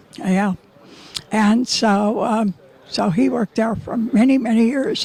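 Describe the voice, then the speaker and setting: A woman's fairly high voice with an American accent and very even loudness, over noticeable background noise. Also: ordinary pitch variation, fairly slow pace. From Nevada City, California. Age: 90s. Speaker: oral history interviewee. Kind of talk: interview. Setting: outdoors. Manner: halting.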